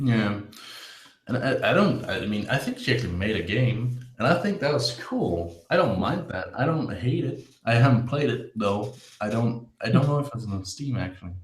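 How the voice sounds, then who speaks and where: A man speaks with lively intonation and a slight Danish accent. His medium-pitched voice carries audible room echo. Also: moderate pace. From Denmark. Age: 20s. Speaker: former game designer. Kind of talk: casual chat.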